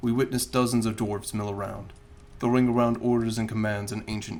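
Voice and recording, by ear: In a natural voice, a passage is read aloud, the intonation staying fairly even.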